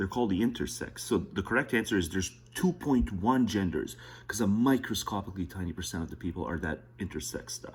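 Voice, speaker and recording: Whispering with vocal fry, a man speaks at a fairly quick pace. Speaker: political commentary streamer. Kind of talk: casual commentary over a played video. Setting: at home, close to the wall, early morning.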